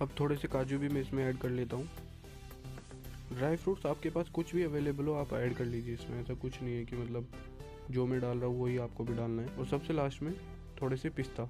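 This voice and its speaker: Clear music plays in the background as a man speaks. His pace is moderate and his intonation fairly even. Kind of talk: tutorial. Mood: friendly, relaxed. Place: kitchen.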